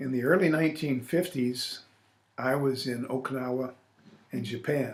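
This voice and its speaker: A man speaks in an American accent with a medium pitch and ordinary pitch variation. His voice is somewhat breathy, and his pace is moderate. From US Midwest, Illinois. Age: 60s. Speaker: retired army officer, war veteran. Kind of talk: oral history interview. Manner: hesitant with fillers.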